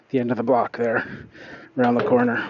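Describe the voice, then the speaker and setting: The speech moves at a moderate pace with fairly even intonation over noticeable background noise. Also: man. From Canada. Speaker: lawn care business owner. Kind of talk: live stream chat while working. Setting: outdoors.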